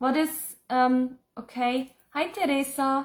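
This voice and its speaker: A woman speaks with a German accent. Her pitch is high. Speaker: psychic and spiritual teacher. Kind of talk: live Q&A reading viewer comments. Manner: casual, chatty.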